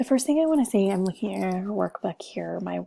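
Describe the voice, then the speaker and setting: Soft-spoken and somewhat breathy, a woman has a dark, mellow tone in a dry, close sound with no echo. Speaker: teacher. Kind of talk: tutorial.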